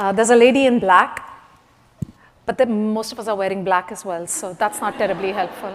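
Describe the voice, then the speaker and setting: A woman of medium pitch speaks at a fairly quick pace with ordinary pitch variation, over noticeable background noise. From India. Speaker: conference speaker, management coach. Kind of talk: workshop talk. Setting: stage with audience.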